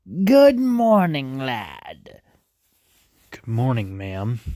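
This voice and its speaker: This man uses a put-on character voice at medium pitch. His pace is very slow. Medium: read story. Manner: friendly, polite.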